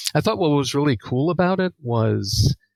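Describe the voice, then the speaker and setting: In a dry, close recording with no echo, a man with an American accent speaks at a fairly slow pace with ordinary pitch variation. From New York, Long Island. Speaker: psychology professor, researcher. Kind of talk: podcast interview. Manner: hesitant, many uhs and ums.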